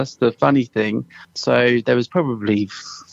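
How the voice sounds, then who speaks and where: With a slight Suffolk accent, a man talks at a moderate pace and medium pitch, his pitch varying in an ordinary way, in a dry, close sound with no echo. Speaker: dialect assistant on a film, former musician. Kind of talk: interview. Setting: radio interview.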